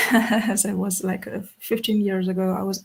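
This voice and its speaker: A woman with a Russian accent speaks at a fairly slow pace in a somewhat breathy, medium-pitched voice with monotone, flat intonation. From Russia, Karelia. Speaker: musician. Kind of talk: interview. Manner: halting.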